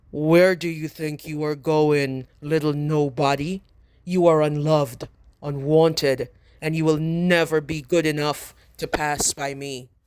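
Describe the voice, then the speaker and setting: Doing a put-on character voice, a man bellows at a fairly high pitch in a flat monotone, keeping a moderate pace with long, frequent pauses. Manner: booming, bellowing, scornful.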